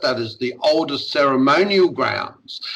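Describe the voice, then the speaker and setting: Noticeable background noise runs behind a man who speaks at a fairly slow pace in a fairly high pitch. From southwest Western Australia. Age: 60s. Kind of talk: interview conversation.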